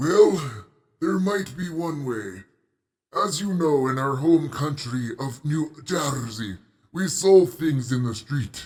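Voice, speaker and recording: Putting on a character voice, a man speaks at a fairly slow pace with a fairly high pitch. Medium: audio drama. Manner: formal, measured.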